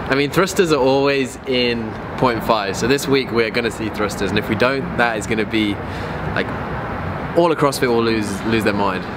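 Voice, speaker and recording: A male speaker's pitch moves in an ordinary way while loud noise fills the background. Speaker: fitness vlogger. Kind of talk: casual vlog chat. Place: street. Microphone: phone near.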